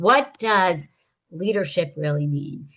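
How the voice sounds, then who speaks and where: A woman's unremarkable speaking voice, medium in pitch, at a fairly slow pace with lively intonation. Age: 60s. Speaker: nonprofit consultant. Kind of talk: online presentation. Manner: casual with frequent fillers.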